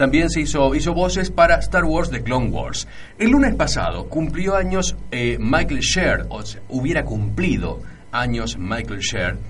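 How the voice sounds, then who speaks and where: A man talking at a fairly slow pace, with audible room echo and music in the background. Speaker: radio host. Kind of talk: radio show.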